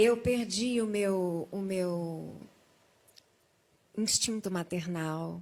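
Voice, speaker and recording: A woman's medium-pitched voice at a very slow pace, with ordinary pitch variation and long, frequent pauses. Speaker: guest sharing a near-death testimony. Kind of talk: testimony in a TV talk show interview.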